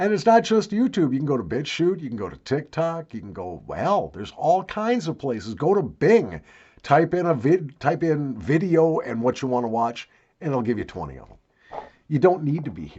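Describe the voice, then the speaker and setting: Using vocal fry, a man speaks at a fairly high pitch with very wide pitch swings and big swings in loudness. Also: moderate pace. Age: 60s. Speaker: YouTuber. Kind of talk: casual vlog monologue.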